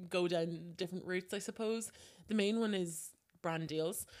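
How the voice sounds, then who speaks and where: A woman speaks with an Irish accent. Her pitch is fairly low and varies in an ordinary way. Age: 20s. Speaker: social media influencer. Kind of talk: interview.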